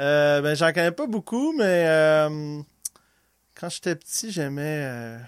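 Long, frequent pauses break up very slow speech that carries ordinary pitch variation. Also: man, fairly high pitch for a man. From Quebec (Laval, near Montreal). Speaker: podcast guest, musician and brewer. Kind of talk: casual chat.

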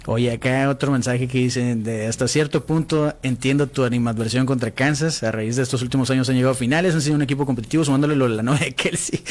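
Hardly pausing, a man talks at a very fast pace against noticeable background noise. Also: very even loudness. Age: 40s. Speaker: sports radio host. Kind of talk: casual chat. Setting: studio.

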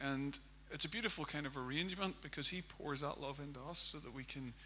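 A man with a Northern Irish accent speaks at a medium pitch and a moderate pace. His tone is bright and sharp, and room echo is audible. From Northern Ireland, County Armagh. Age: 40s. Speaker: pastor. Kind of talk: sermon.

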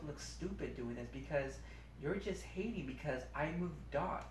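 A man is heard over noticeable background noise. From Long Beach, California. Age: 30s. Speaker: superfan and grocery store worker. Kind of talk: casual chat. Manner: halting.

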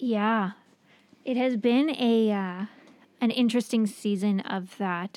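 In an American accent, the speech comes at a very slow pace with long, frequent pauses and fairly even intonation. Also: woman, fairly high pitch for a woman. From New York, US. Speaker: therapist and professor. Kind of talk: casual interview chat. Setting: studio, in person.

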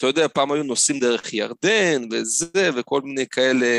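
With lively intonation, a man speaks at a medium pitch in an unremarkable speaking voice, recorded with a dry, close sound and no echo. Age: 30s. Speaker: tour operator. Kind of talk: interview.

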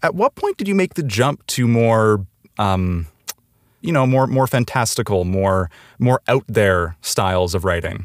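A normal speaking voice from a man at medium pitch, lively intonation and a fairly slow pace, with a dry, close sound with no echo and a very clean recording with a silent background. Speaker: podcast host. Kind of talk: casual interview.

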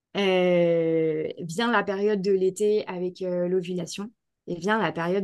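Monotone, flat intonation marks a woman speaking at a very slow pace with a medium pitch. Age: 30s. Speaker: naturopath and holistic therapist. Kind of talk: casual interview. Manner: hesitant, many fillers and repetitions.

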